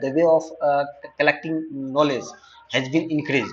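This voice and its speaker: With a non-native accent, this speaker's pitch varies by an ordinary amount. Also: man. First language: not English. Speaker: online data science teacher. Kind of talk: tutorial lecture. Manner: halting, many fillers and repetitions.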